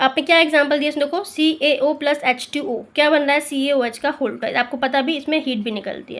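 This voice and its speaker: A woman with a high pitch talks at a moderate pace. Her intonation is fairly even, with hardly any pauses. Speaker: school teacher. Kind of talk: lecture. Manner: conversational, Hindi-English code-switching.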